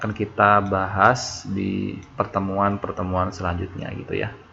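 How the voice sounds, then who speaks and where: Noticeable background noise runs under the recording. A man speaks at a moderate pace with a fairly low pitch. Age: 20s. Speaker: online tutor. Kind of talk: online class introduction. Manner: halting.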